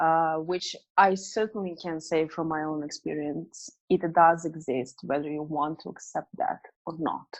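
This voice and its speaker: With a non-native accent, a woman speaks fairly slowly at a fairly low pitch, her intonation fairly even against a quiet background. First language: not English. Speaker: business coach and author. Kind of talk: interview. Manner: hesitant, many fillers.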